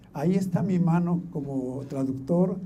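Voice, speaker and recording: Audible room echo colors the man's voice, which shows ordinary pitch variation. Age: 70s. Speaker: Bible translator. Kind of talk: conference talk.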